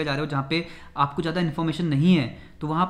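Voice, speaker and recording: A man at a very fast pace with monotone, flat intonation. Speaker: travel vlogger. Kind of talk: casual vlog chat. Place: home room. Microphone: camera far.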